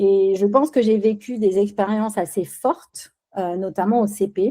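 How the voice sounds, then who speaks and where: Speaking at a fairly slow pace, a woman with a Spanish accent has a dark, mellow tone. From Spain, raised in France from age 6. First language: Spanish (speaking French). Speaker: business executive. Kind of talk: podcast interview. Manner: hesitant, many fillers.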